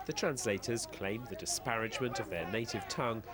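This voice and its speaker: A man at a medium pitch with lively intonation, crowd noise in the background. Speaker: TV news correspondent. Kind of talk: TV news report narration.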